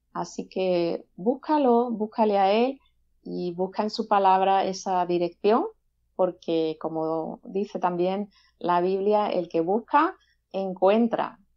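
Speaking very slowly, the woman keeps her pitch variation ordinary. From Seville, southern Spain; Spain. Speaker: gospel singer-songwriter; guest. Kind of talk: interview. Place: home room. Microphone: video call.

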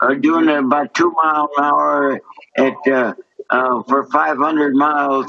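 A man talks at a fairly high pitch and a fairly slow pace with monotone, flat intonation. The background is quiet. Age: 80s+. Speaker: war veteran. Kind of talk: interview answer. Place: home room. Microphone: video call.

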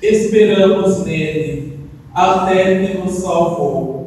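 Strong room echo surrounds a man with a high pitch and ordinary pitch variation. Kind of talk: scripture reading. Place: church. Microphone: camera far.

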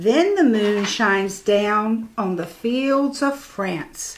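A woman speaks in a fairly high pitch with a gentle, soothing tone. Her delivery is sing-song, with very wide pitch swings. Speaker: church storyteller. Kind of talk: bedtime story reading aloud to children, rhyming picture book. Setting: video recording for church channel. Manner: gentle, slow, soothing sing-song cadence; warm and playful, lightly animated. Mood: gentle, expressive. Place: home room. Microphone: lapel.

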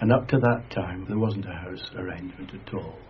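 With a Lancashire accent, a man speaks at a fairly low pitch with ordinary pitch variation. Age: 80s+. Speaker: retired teacher. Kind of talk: interview reminiscence.

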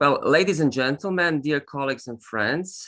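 A man's bright, sharp tone with ordinary pitch variation, set against a quiet background. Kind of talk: formal opening speech. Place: home room. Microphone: video call.

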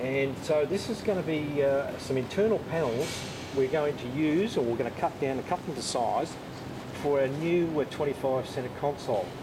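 A man's speech proceeds at a moderate pace. Background noise is noticeable throughout. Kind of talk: tutorial. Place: workshop. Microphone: camera far.

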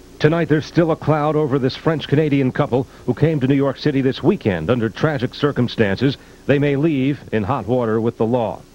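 At a medium pitch, a man speaks with a slightly mellow tone. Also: ordinary pitch variation, fairly quick pace.

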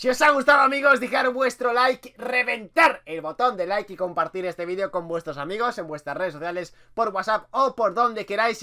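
A man speaks in a raised, projected voice. His intonation is lively. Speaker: youtuber. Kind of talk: casual vlog chat, outro and shout-outs. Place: home room.

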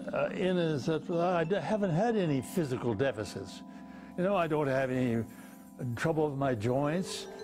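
Over faint background music, a man speaks at a moderate pace with very even loudness. His fairly high pitch moves in very wide swings. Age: 80s+. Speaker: retired heart surgeon. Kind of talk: interview; interview answer. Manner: halting. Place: home room. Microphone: lapel.

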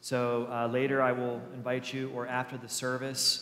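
A man speaks. There is audible echo in the room. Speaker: pastor. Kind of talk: church announcements. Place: church.

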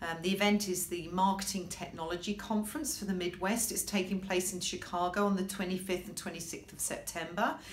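A woman talks with fairly even intonation. Light background noise can be heard. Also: fairly quick pace, hardly any pauses. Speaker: legal marketing professional. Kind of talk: casual talk to camera. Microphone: webcam.

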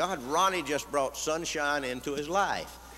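With an American accent, a man speaks fairly high, his tone bright and sharp with vocal fry. He moves at a fairly slow pace over light background noise. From Texas. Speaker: radio commentator. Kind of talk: conference speech. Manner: humorous storytelling. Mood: wry, folksy, indignant. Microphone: podium.

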